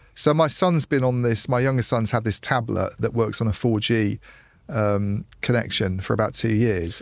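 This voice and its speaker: A man's ordinary speaking voice at a medium pitch, with ordinary pitch variation, very even loudness and a moderate pace. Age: middle-aged. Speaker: telecoms journalist. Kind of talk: casual chat. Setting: studio.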